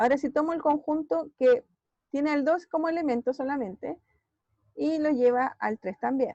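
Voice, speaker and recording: A high-pitched woman talks with ordinary pitch variation. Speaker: math teacher. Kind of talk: online class lecture.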